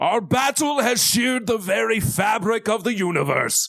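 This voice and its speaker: A man speaks loudly in a put-on character voice. His pitch is high. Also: moderate pace. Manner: hammy, theatrical.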